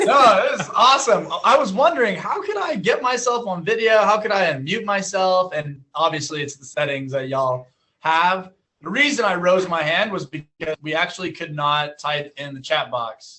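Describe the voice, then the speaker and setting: Energetic and high-pitched, a man speaks with very wide pitch swings and big swings in loudness. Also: moderate pace. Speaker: school district specialist. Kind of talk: casual chat.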